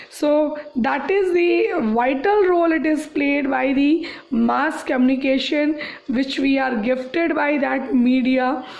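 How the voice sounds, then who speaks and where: A woman with a high pitch speaks at a very slow pace with hardly any pauses, ordinary pitch variation and very even loudness, amid noticeable background noise and audible room echo. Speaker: school teacher. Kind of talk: online class lecture. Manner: halting.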